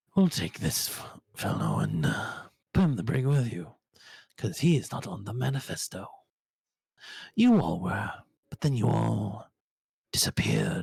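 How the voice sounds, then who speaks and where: Putting on a character voice, a man at medium pitch speaks at a moderate pace with big swings in loudness and long, frequent pauses. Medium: actual play. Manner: suspicious, brusque.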